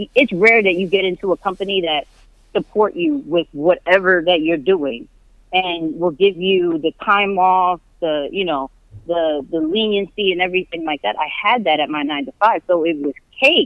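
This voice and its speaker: In an American accent, a woman speaks at a moderate pace and medium pitch with lively intonation. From New York. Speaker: digital media coordinator, Navy veteran. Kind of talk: casual interview. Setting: walking while on podcast call. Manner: animated.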